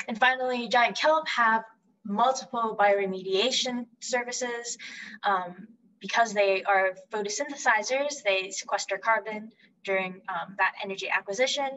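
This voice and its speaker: A woman talks at a moderate pace, her pitch varying in an ordinary way, with light background noise behind her. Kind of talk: lecture. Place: home room. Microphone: webcam.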